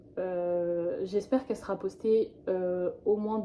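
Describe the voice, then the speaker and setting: Fairly even intonation from a woman, medium in pitch. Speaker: vlogger. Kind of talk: vlog monologue. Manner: slow; hesitant, many fillers.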